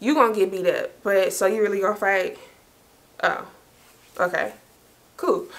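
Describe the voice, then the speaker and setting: Against noticeable background noise, a woman speaks in an animated tone at very even loudness, with long, frequent pauses. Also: moderate pace. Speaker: storytime YouTuber. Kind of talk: casual storytelling monologue.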